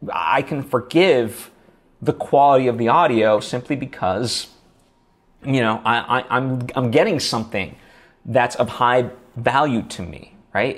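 Fairly slow pace with ordinary pitch variation and long, frequent pauses. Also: man. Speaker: podcasting coach. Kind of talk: tutorial. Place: home room. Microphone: lapel.

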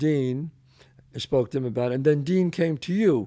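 A man with a New York accent, lively intonation and a dark, mellow tone. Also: quiet background. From the Bronx, New York. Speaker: actor and show host. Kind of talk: casual interview conversation. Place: home room. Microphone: studio mic.

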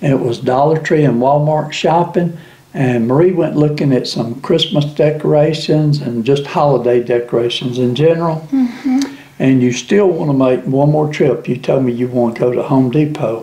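A man with a Southern US accent, at a moderate pace. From US South. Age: 70s. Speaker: YouTube channel host. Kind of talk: casual chat. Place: kitchen.

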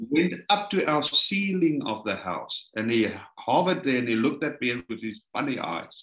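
This man's voice has vocal fry and a fairly high pitch, with very wide pitch swings and big swings in loudness at a moderate pace. There is audible room echo over a quiet background. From South Africa. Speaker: minister, ministry leader; minister. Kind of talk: testimony. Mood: animated, dramatic storytelling. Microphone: video call.

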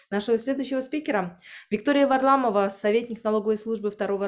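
Over a quiet background, a woman speaks with fairly even intonation. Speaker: webinar moderator. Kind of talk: event moderation. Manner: hesitant filler sounds.

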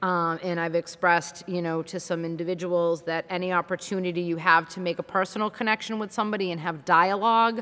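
A woman talks at a very fast pace in a fairly low pitch, with a bright, sharp tone. Her intonation stays fairly even, and she hardly pauses. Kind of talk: meeting update report. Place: hall. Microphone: podium.

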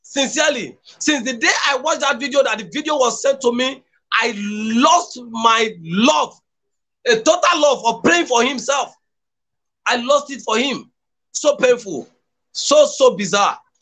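A man speaks in an extremely high, bright and sharp voice, raised and projected, with lively intonation at a fairly slow pace. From Nigeria, Edo State. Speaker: political activist; guest commentator. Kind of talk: political commentary. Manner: impassioned. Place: home room.

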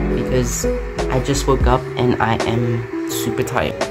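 A man speaks with loud music in the background. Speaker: vlogger. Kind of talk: casual vlog chat. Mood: sleepy, relaxed. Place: home room. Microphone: phone near.

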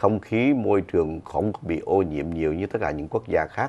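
Very deep and low, a man's voice moves at a fairly quick pace. His pitch varies in an ordinary way. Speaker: TV show host. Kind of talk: news commentary. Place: studio. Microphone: lapel.

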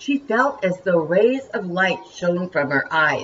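The intonation is lively as someone reads in an unforced reading voice.

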